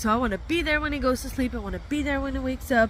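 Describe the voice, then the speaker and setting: Noticeable background noise is present. A woman talks through it. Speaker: vlogger, van lifer and dog owner. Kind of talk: casual vlog talk. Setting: outdoors at the vet, near her van. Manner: casual, chatty with fillers.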